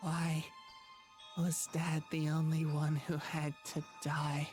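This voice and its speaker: A raspy, put-on character voice at a middle pitch moves at a very slow pace with monotone, flat intonation over clear music in the background. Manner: strained.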